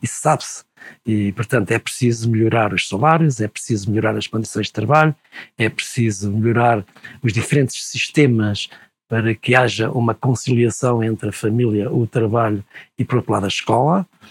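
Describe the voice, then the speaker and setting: A man speaks at a moderate pace with a medium pitch, ordinary pitch variation and a somewhat breathy quality, recorded dry and close with no echo. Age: 70s. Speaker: retired university professor. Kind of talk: interview conversation.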